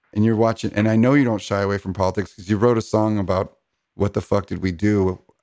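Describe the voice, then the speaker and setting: Fairly quick and with fairly even intonation, a man speaks in a normal speaking voice at a fairly low pitch. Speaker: podcast host. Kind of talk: interview, casual chat.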